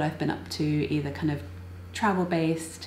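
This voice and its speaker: A woman's very deep, low voice amid noticeable background noise and audible room echo. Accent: British. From UK. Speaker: knitting and crochet vlogger and designer. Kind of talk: casual vlog chat.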